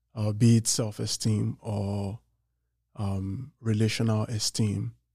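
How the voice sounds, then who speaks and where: This man's voice is fairly low, dark and mellow, and somewhat breathy, with a monotone, flat intonation at a very slow pace. The recording is very clean against a silent background. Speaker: podcast co-host. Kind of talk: casual chat.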